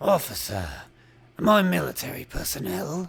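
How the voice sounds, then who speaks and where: Using a put-on character voice, a man talks at a moderate pace with a fairly high pitch for a man. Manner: dim, primitive.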